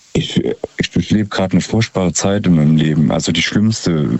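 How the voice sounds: Low in pitch with a slightly husky edge and a slightly mellow tone, a man speaks at a moderate pace with ordinary pitch variation.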